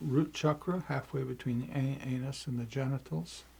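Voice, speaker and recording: A man's somewhat breathy, medium-pitched voice, dark and mellow in tone, with ordinary pitch variation at a moderate pace. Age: 70s. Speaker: meditation teacher. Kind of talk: tutorial. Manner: halting.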